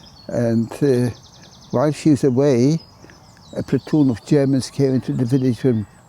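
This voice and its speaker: Noticeable background noise accompanies a man at medium pitch who speaks at a fairly slow pace with fairly even intonation. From Poland. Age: 90s. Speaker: Holocaust survivor. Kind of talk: testimony. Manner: halting.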